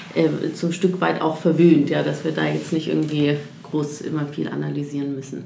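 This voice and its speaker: Audible room echo follows a woman as she speaks at a fairly quick pace. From Munich, Bavaria. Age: 30s. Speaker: economist at a sustainability bank. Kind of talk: interview.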